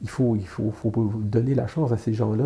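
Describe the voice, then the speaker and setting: Here a man speaks at a moderate pace in a medium pitch. His voice is somewhat breathy with a dark, mellow tone and flat, monotone intonation. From Quebec, Canada. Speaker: illustrator and comic artist. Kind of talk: interview answer. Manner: hesitant, many fillers.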